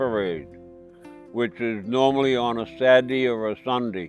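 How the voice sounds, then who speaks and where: Music plays in the background as the speech moves at a fairly slow pace. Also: man. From Massachusetts. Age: 70s. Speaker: Civil War reenactor, Vietnam veteran. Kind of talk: interview answer.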